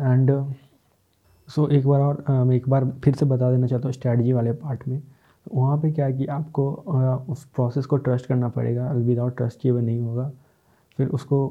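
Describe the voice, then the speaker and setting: This man's somewhat breathy voice sits at a medium pitch, delivered at a moderate pace with monotone, flat intonation. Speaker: podcaster. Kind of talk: solo self-help talk. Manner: halting, with many fillers.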